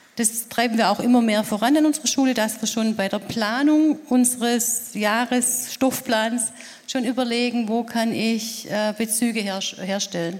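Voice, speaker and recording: The speech moves at a fairly slow pace with fairly even intonation, under noticeable background noise. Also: woman, fairly high pitch for a woman. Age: 50s. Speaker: secondary school teacher. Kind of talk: panel discussion.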